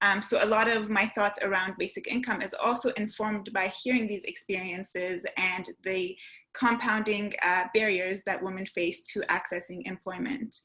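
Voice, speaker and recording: A woman at a medium pitch with fairly even intonation and hardly any pauses, over noticeable background noise. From Canada, Toronto (born in Iran). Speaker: researcher and panelist. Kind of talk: webinar panel talk. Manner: fast.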